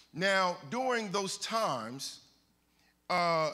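A man's bright, sharp voice with very wide pitch swings. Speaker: preacher. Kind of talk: sermon. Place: church.

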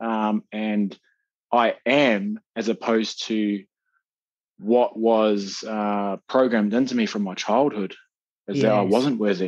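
Very slowly, a man speaks with a New Zealand accent. His pitch is fairly low, and his intonation is fairly even. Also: quiet background. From Napier, New Zealand. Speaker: social worker and men's coach. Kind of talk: interview answer. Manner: quietly spoken.

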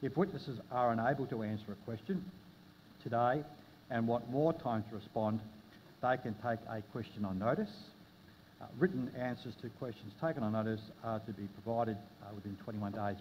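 Over light background noise, a man with an Australian accent talks at a fairly quick pace broken by long, frequent pauses. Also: ordinary pitch variation. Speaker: committee chair. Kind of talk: parliamentary hearing. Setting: hearing room with public audience. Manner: formal; halting. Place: meeting room. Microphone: podium.

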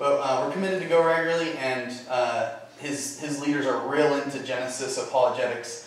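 Strong room echo surrounds a man who talks at a fairly quick pace with ordinary pitch variation. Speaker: guest. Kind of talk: sermon. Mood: warm, light humor. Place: church.

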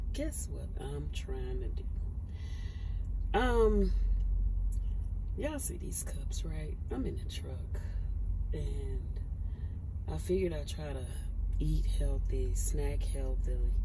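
Against noticeable background noise, a woman speaks at a very slow pace. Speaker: truck driver. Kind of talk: casual talk to camera. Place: car. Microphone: phone near.

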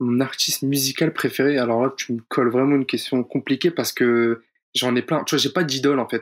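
An ordinary speaking voice from a man at medium pitch, at a fairly slow pace, in a very clean recording with a silent background. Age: 20s. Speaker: pro esports player. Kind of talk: casual interview.

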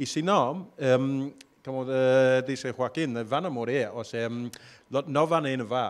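In an English accent, a man talks at a very slow pace with a medium pitch and ordinary pitch variation. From Australia. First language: English (speaking Spanish). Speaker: location-independent entrepreneur; panelist. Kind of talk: panel discussion. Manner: hesitant, many fillers. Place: stage. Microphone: handheld.

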